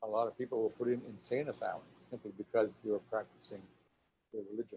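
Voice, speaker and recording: Very fast and somewhat breathy, a man speaks at a medium pitch in a dark, mellow tone with monotone, flat intonation, in a dry, close sound with no echo. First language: Lakota. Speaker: author and storyteller. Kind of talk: lecture.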